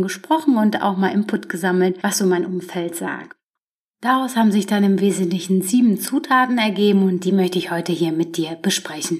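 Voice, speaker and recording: Using a normal speaking voice, a woman speaks at medium pitch and a moderate pace. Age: 30s. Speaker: podcast host. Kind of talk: solo self-help monologue.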